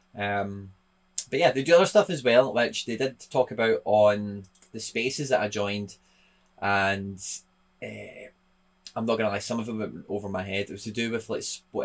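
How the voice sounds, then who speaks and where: A man speaks with a Scottish accent. His pitch varies in an ordinary way. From Scotland. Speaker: football content creator. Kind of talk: casual video commentary. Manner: casual, hesitant with fillers. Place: home room.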